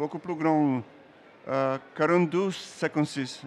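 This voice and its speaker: A man talks with ordinary pitch variation. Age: old. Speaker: comic book artist. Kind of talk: interview while drawing. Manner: halting.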